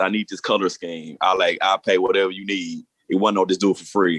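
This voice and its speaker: A man with a Southern accent, very fast pace and fairly even intonation. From Arkansas. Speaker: podcaster and YouTuber. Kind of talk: panel discussion.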